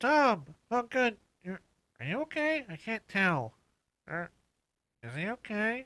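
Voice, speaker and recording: A man does a put-on character voice, high-pitched for a man, at a fairly slow pace with long, frequent pauses, on a very clean recording with a silent background. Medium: actual play. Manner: hesitant, easily distracted.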